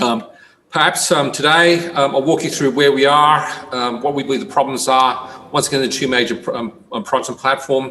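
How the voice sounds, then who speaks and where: Speaking at a fairly quick pace, a man with an Australian accent has a fairly high pitch. His intonation stays fairly even, with noticeable background noise behind him. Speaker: company CEO presenting. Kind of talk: investor presentation. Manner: halting, many fillers.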